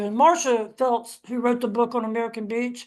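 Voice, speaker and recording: Delivered at a fairly quick pace, this is a plain, everyday voice. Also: woman. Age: 60s. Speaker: author and historian. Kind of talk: panel discussion.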